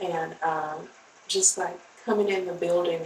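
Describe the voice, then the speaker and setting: A woman speaks with an American accent in a fairly low voice, over noticeable background noise. Her intonation is monotone and flat. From rural North Carolina. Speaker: teacher and social worker. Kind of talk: interview. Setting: podcast.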